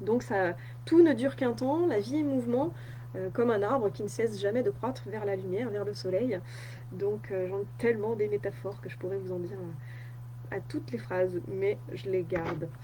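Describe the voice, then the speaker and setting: A woman talks at a moderate pace, her voice carrying audible room echo. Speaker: wellness coach. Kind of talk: live stream talk. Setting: Facebook live on computer. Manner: many filler hesitations.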